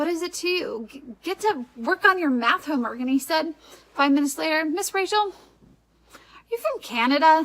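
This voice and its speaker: A woman with an American accent speaks at a moderate pace with lively intonation. Her extremely high voice has big swings in loudness. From Wisconsin, US Upper Midwest. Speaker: vlogger. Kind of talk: casual vlog talk. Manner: conversational, frequent um fillers.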